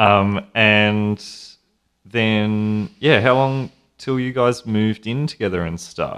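Speaking very slowly, a man with an Australian accent keeps a fairly low pitch and fairly even intonation. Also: very clean recording, silent background. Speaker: podcast host. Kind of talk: casual chat.

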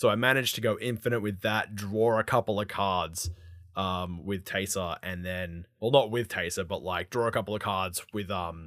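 A man's very deep, low voice with an Australian accent, ordinary pitch variation and a moderate pace. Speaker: podcast co-host. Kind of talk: casual chat.

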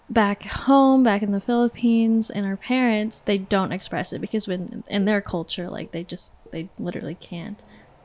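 A woman with an ordinary speaking voice talks at a moderate pace, her medium pitch following fairly even intonation. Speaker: student club officer. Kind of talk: casual chat.

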